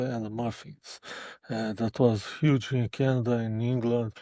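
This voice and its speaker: In a very clean recording with a silent background, a man speaks at a moderate pace. His medium-pitched voice stays monotone and flat, and the sound is dry and close with no echo. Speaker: guitarist with Parkinson's. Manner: halting, repeats words.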